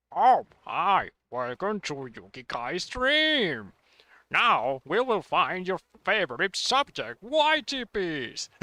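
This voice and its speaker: In a put-on character voice, a man projects loudly at a high pitch, speaking very slowly with very wide pitch swings on a very clean recording with a silent background. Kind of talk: announcing, teacher-like. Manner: cheerful, chirpy, slightly menacing.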